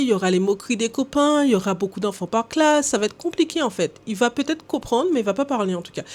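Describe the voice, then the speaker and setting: Her pitch fairly high and swinging very widely, a woman speaks at a very fast pace. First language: English (speaking French). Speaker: language coach. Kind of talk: educational talk to camera. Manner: hesitant with filler sounds.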